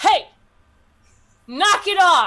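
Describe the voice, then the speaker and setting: A female-sounding voice puts on a character voice. The pitch is extremely high. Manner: stern, scolding.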